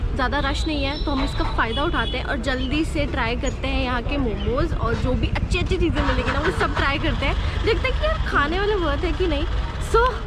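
At a moderate pace with hardly any pauses, the speech has a dry sound with no echo under loud background noise. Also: woman. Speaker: food vlogger host. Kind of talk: casual vlog chat. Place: market. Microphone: phone near.

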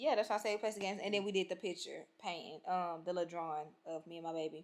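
This woman has an American accent. She talks at a fairly quick pace with fairly even intonation. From Texas. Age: 20s. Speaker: vlogger. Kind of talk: casual vlog talk to camera. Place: home room. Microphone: phone near.

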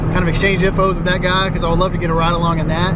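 A man talks over loud background noise. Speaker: car vlogger. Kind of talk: casual vlog chat. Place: car. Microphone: phone near.

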